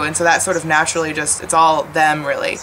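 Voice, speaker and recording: Over noticeable background noise, a woman with an American accent talks at a moderate pace and a fairly low pitch. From Washington, D.C., US. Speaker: volunteer teacher. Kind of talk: interview testimony; interview answer. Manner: casual, many fillers. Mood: warm, reflective.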